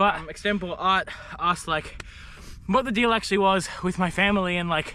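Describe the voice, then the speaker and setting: A man with an Australian accent uses a raised, projected voice pitched high. Noticeable background noise is present. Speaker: vlogger, documentary filmmaker. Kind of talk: casual vlog monologue. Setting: outdoors on a run. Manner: casual, filler-heavy.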